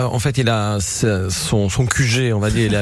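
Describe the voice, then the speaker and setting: Against noticeable background noise, a man speaks fairly slowly in a fairly low voice with ordinary pitch variation. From southern Italy, Apulia. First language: Italian (speaking French). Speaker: chef. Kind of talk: radio interview. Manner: halting, many repetitions.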